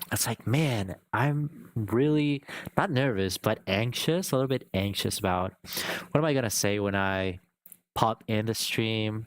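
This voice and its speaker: This man speaks with a non-native accent at a fairly slow pace. His medium pitch varies in an ordinary way. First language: not English. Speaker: live streamer. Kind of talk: casual livestream chat. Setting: live stream. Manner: hesitant, searching for words.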